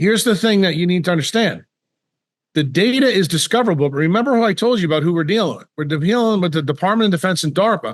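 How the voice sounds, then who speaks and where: Against a quiet background, a man speaks very fast at a high pitch with lively intonation. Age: 60s. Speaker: neurosurgeon. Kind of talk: interview.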